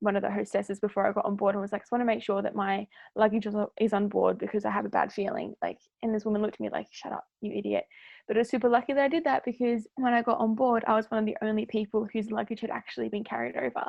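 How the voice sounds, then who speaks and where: Speaking very fast, a woman with an Australian accent uses a medium pitch and ordinary pitch variation. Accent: thick Australian. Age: 20s. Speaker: former cruise ship worker. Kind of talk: storytelling in casual podcast chat. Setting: podcast recording. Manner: animated.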